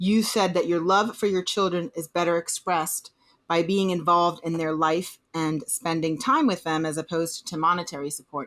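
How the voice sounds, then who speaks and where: A woman speaks in a normal speaking voice with an American accent, her pitch fairly low. She keeps a moderate pace and fairly even intonation. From Boston, USA. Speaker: lawyer. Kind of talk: podcast interview questions.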